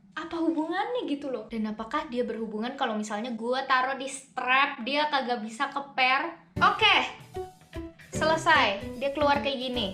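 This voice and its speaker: Over music in the background, a woman uses a raised, projected voice. Her pitch is high, with ordinary pitch variation. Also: moderate pace. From South Tangerang, near Jakarta, Indonesia. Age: young. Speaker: YouTuber. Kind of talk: casual unboxing review talk to camera.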